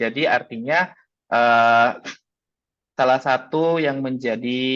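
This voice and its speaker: The speaker is a man with a medium pitch. He keeps his intonation fairly even and his pace fairly slow. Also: quiet background. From Makassar, South Sulawesi, Indonesia. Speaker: teacher and workshop speaker. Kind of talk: webinar presentation. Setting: video call. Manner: hesitant with frequent fillers.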